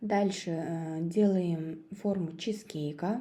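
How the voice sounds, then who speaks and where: Very slowly and with fairly even intonation, a woman with a Kazakh accent speaks in a dark, mellow tone at a fairly low pitch, with audible room echo. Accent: Kazakh accent in Russian. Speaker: cooking video creator. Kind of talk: recipe tutorial. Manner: hesitant, many filler sounds.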